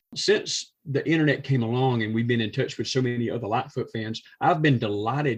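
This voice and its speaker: Speaking with a Georgia accent, a man has a somewhat breathy voice. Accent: southern US (Georgia). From US South, south Georgia. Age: 60s. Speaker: musician, retired teacher. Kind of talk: casual interview chat.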